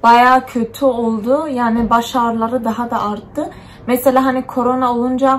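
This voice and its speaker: Her pitch high and her intonation monotone and flat, a woman speaks at a fairly slow pace. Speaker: vlogger. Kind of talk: casual vlog chat. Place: home room. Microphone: phone near.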